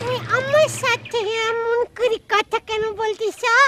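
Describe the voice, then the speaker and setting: It's a squeaky, put-on character voice at an extremely high pitch. The pace is fairly slow. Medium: short film. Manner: peculiar, affected speech.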